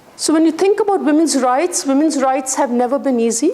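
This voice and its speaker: A high-pitched woman at a fairly quick pace, with ordinary pitch variation and noticeable background noise. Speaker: guest lecturer. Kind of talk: lecture. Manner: loud.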